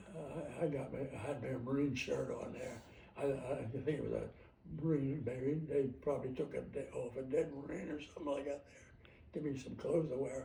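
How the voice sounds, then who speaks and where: A man at a moderate pace with an American accent, fairly high in pitch and flat, monotone in intonation. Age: 80s+. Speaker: war veteran. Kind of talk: interview answer.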